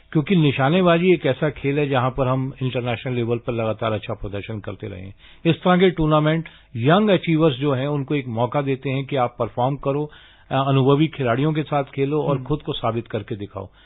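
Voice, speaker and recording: A man with an unremarkable speaking voice, fairly high in pitch, with ordinary pitch variation and a moderate pace. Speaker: senior sports expert, studio guest. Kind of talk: radio studio discussion, expert commentary.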